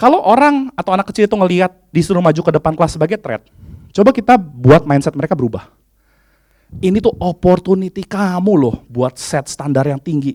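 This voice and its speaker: In a dry, close sound with no echo, a man talks fairly quickly in an animated tone, his high voice making very wide pitch swings. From Indonesia, Bandung (West Java). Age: 30s. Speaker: HR executive and conference speaker. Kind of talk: conference talk.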